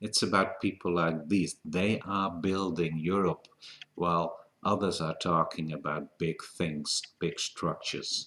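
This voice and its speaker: With a Dutch accent, a man talks at a fairly slow pace in a very deep, low pitch. His intonation is fairly even. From Netherlands. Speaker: political commentator. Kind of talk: open video letter. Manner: halting.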